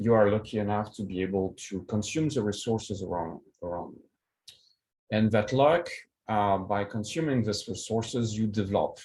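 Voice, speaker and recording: Over audible room echo, a man with a French accent speaks at a fairly low pitch and moderate pace, his loudness swinging widely. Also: ordinary pitch variation. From France, Paris. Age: 40s. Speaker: keynote speaker, project management expert. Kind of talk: conference keynote. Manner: hesitant, many fillers.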